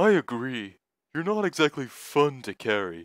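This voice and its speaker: A man speaks in a put-on character voice at a medium pitch, with very wide pitch swings. The recording is very clean, with a silent background. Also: moderate pace. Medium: read story. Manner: gruff, sarcastic.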